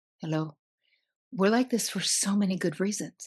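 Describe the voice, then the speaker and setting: Lively intonation and a somewhat breathy delivery at a moderate pace, in a New Jersey accent. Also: woman. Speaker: psychotherapist. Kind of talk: podcast interview. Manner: animated.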